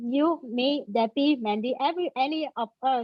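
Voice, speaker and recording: The speaker has a Vietnamese accent and ordinary pitch variation. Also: woman. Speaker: panel moderator, front-end developer. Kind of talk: panel discussion.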